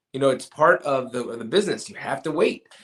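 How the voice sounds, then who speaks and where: A man's fairly high-pitched voice with an American accent, at a fairly quick pace. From Los Angeles, California. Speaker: actor. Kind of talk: interview. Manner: hesitant fillers.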